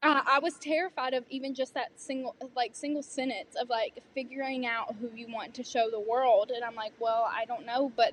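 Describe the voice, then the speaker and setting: In a Southern US accent, a woman with a high pitch talks at a moderate pace with fairly even intonation. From US South. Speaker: student performer, pageant titleholder. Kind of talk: interview conversation.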